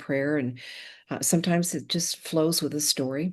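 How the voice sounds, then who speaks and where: Talking at a moderate pace, a woman with an American accent has a very deep, low pitch. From Colorado, US. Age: 70s. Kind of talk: interview conversation.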